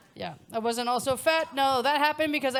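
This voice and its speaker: In a very clean recording with a silent background, a woman with an American accent speaks loudly at a fairly quick pace, her pitch high. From United States. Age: middle-aged. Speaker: stand-up comedian. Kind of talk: stand-up comedy set. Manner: loud, blunt.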